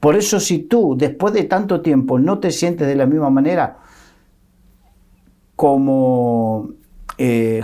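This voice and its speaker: The tone is dark and mellow, delivered at a very slow pace. Pitch swings very widely throughout. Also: man. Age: 60s. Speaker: Bible teacher. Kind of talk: Bible discussion.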